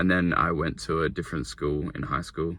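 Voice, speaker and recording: A man's very deep, low voice with an Australian accent, vocal fry, ordinary pitch variation and a moderate pace. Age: 20s. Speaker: young entrepreneur vlogger. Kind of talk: casual vlog monologue. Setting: in a car. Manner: rambling, filler-heavy.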